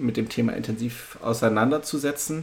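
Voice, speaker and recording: Using fairly even intonation, a man speaks at a moderate pace and medium pitch. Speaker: podcast host. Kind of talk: interview. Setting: video call.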